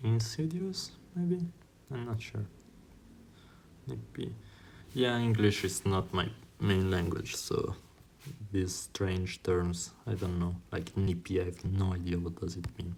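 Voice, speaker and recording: A man with an Italian accent has a very deep, low pitch and a somewhat breathy sound. His pitch varies in an ordinary way, with long, frequent pauses. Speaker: YouTuber doing online tests. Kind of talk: think-aloud while taking a test. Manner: halting, with many fillers.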